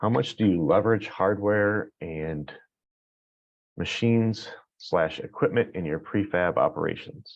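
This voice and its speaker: At a fairly slow pace, a man talks in a fairly low pitch. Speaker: construction technology leader presenting survey results. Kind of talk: webinar presentation. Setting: online webinar. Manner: many filler words, hesitant.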